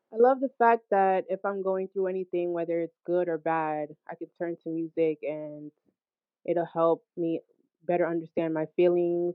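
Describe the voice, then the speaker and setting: Speaking at a moderate pace, a woman with an American accent uses a fairly low pitch and fairly even intonation. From Hackensack, New Jersey. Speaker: singer and musician. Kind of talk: interview. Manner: laid back.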